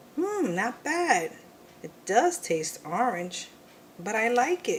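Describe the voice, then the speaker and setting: Over clear background noise, a put-on character voice that sounds female, fairly high in pitch, swings very widely in pitch at a very slow pace. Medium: read story. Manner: whiny, dramatic.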